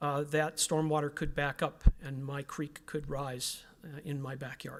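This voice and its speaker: Against a silent background in a very clean recording, a man speaks in a flat monotone at a fairly high pitch and a moderate pace. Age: 60s. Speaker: resident speaking at public meeting, former truck driver. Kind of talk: public comment at municipal meeting. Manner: halting.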